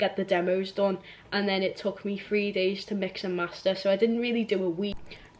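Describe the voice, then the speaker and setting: A woman with a Liverpool accent speaks at a moderate pace. Her pitch is medium and her intonation fairly even. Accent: Scouse. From Liverpool, England. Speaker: musician. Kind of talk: casual vlog chat. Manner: hesitant, many fillers.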